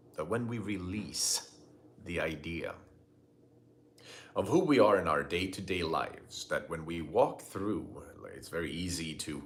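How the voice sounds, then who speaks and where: A man's very deep, low voice at a fairly slow pace, with long, frequent pauses, big swings in loudness, ordinary pitch variation and audible room echo. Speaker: spiritual teacher. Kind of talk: live stream talk. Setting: live video stream. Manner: halting.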